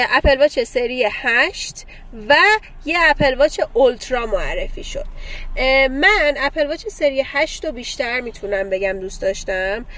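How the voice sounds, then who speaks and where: With very wide pitch swings, a woman talks very slowly in a high register. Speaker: podcast host. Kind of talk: casual chat. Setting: in a car.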